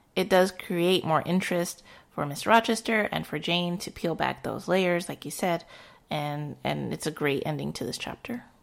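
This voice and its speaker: With an unremarkable speaking voice, a woman keeps a moderate pace and a fairly low pitch with ordinary pitch variation. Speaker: podcast host. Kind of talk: casual chat.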